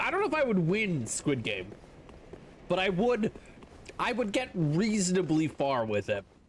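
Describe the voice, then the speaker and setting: Amid noticeable background noise, a man with an animated tone and a high pitch speaks at a moderate pace, with very wide pitch swings, very even loudness and long, frequent pauses. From Canada. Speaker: video game streamer. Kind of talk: casual live-stream chat. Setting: live stream.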